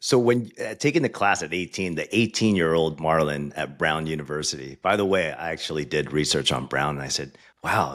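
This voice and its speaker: A man with an American accent speaks in a very deep, low voice with vocal fry. His pace is fairly quick with hardly any pauses, his pitch varies in an ordinary way, and the recording is very clean with a silent background. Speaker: podcast host. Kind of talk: interview.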